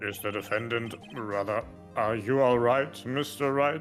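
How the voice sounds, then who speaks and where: A man puts on a character voice at a medium pitch, with ordinary pitch variation and a moderate pace. Clear music plays in the background. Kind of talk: formal courtroom speech. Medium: virtual streamer.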